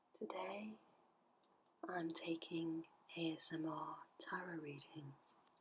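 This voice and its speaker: Somewhat breathy, a woman speaks with lively intonation at a fairly low pitch. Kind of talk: ASMR tarot reading. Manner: whispered, soothing.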